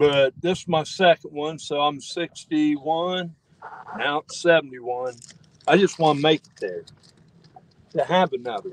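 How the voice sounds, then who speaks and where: The speaker talks at a fairly slow pace with long, frequent pauses, ordinary pitch variation and big swings in loudness, and the sound is dry with no echo. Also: man, fairly high pitch for a man. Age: 60s. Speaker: fishing companion. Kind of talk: casual chat. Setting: outdoors. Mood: relaxed, chatty. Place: boat. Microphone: phone near.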